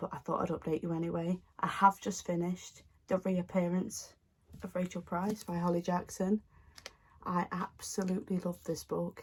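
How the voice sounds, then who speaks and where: In a put-on character voice, a woman speaks quietly at a moderate pace, raspy and medium in pitch, with monotone, flat intonation. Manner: casual.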